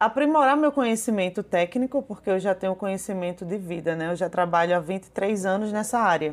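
A woman talks in an unremarkable speaking voice. Her medium pitch shows ordinary pitch variation. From Brazil, Paraíba (João Pessoa). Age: 30s. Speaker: small business owner and mother of a patient. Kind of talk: personal testimony interview.

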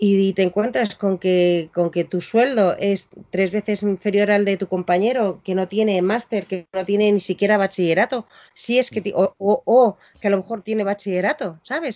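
A woman of medium pitch speaks at a moderate pace. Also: ordinary pitch variation. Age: 50s. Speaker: music venue programmer and lecturer. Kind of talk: interview. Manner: halting, with many repetitions.

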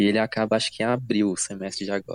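A man with a fairly low voice talks at a moderate pace in a dry, close recording with no echo. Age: 20s. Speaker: engineering student. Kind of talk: casual chat.

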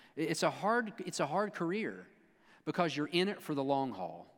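Animated and playful, a man speaks at a moderate pace in a fairly high pitch with very wide pitch swings, on a very clean recording with a silent background. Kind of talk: sermon. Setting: church with congregation. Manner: animated, playful, jokey, teasing the congregation with call-and-response; conversational, preacherly, pausing and repeating phrases for emphasis.

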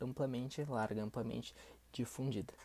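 Speech moves at a moderate pace. The recording is very clean, with a silent background. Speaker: English test prep podcaster. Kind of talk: tutorial.

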